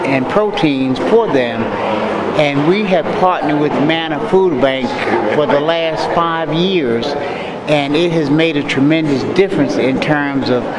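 A man speaks at a very slow pace with ordinary pitch variation. Loud background noise runs under him. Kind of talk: interview answer. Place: hall. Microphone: handheld.

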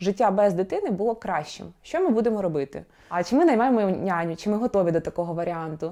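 A woman at a fairly quick pace, dark and mellow in tone, with lively intonation. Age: 30s. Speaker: vlogger, new mother. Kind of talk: personal vlog monologue.

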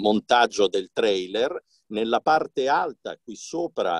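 A man speaking at a very slow pace with lively intonation, the sound dry with no echo against a quiet background. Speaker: radio host and voice actor. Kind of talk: casual talk to camera. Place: booth. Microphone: phone near.

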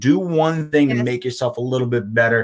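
A man with an American accent has an unremarkable speaking voice, a medium pitch and ordinary pitch variation. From Boston, US. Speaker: podcast panelist. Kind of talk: casual chat. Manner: heated, loud rant.

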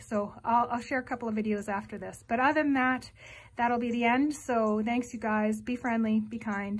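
Against a quiet background, a woman talks at a moderate pace in a monotone, flat intonation. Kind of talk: casual vlog chat. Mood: warm, friendly. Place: home room. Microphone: phone near.

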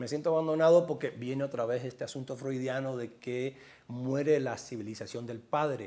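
Speaking with a slight Cuban accent, a man uses a fairly high pitch, a dark, mellow tone and lively intonation at a moderate pace. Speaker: journalist and author; journalist. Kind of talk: interview. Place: home room. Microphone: lapel.

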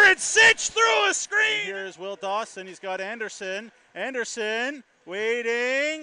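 Shouting at a very slow pace, a man calls out. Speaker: hockey play-by-play announcer. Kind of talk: live sports commentary.

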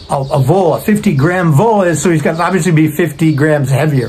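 Lively intonation at a moderate pace, a slightly mellow tone, faint background noise. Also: man.

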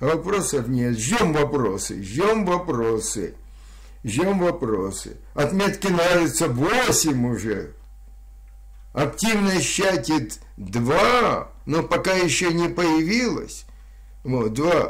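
A man at a very slow pace, with very wide pitch swings, long and frequent pauses, and a quiet background. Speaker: psychiatrist streamer. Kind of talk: casual livestream chat reading chat stats. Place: home room. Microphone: studio mic.

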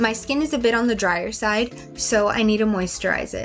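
Over music in the background, a woman with a fairly high pitch talks at a moderate pace. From Mexican-American. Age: 20s. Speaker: beauty vlogger. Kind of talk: tutorial. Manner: scripted voiceover.

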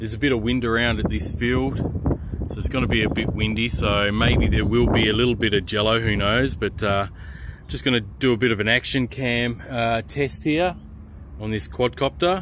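With lively intonation, a man speaks over noticeable background noise in a dry sound with no echo. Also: moderate pace. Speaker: hobby drone reviewer. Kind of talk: casual review narration. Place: open country. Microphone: phone near.

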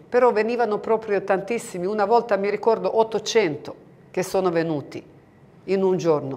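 A woman's dark, mellow tone in a Croatian accent, at a moderate pace with ordinary pitch variation. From Bosnia and Herzegovina (Medjugorje area); Bosnia and Herzegovina. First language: Croatian (speaking Italian). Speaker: pilgrim guide. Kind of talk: interview; interview answer. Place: studio.

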